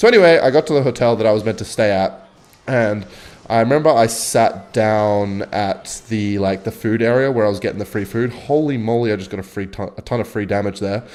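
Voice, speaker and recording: Speaking with an Australian accent, a man keeps a medium pitch and ordinary pitch variation at a fairly quick pace. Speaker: gaming streamer. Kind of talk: gameplay commentary with storytelling. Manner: casual, rambling.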